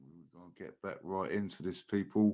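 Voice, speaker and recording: A man with a South London accent and a fairly low pitch. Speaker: livestream reaction host. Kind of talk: casual livestream commentary. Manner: animated.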